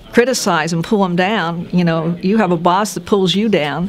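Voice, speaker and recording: Noticeable background noise sits behind a woman's voice. She talks at a moderate pace, fairly low in pitch, with ordinary pitch variation. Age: 70s. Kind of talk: interview answer.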